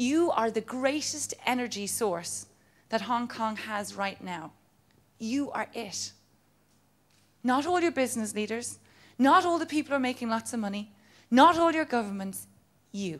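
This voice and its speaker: In an Irish accent, a woman speaks with a fairly high pitch, lively intonation and an animated tone, leaving long, frequent pauses. The recording is very clean with a silent background. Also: moderate pace. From Ireland. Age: 30s. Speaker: motivational speaker. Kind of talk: motivational talk.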